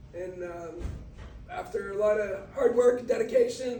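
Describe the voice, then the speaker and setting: A man with an American accent, ordinary pitch variation, and audible room echo. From Brazil. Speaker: motivational speaker. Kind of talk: motivational talk. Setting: talk to a sports team.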